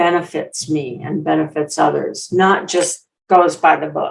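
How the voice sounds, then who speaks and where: With a Minnesotan accent, a woman speaks in a fairly low voice. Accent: Minnesota. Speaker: public speaker and storyteller. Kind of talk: interview.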